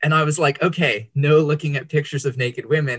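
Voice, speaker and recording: In an American accent, an unremarkable speaking voice moves at a fairly quick pace, dry and close with no echo. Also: man. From Indonesia (Java, Bandung), American family. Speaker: author and worship leader. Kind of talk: interview, personal testimony.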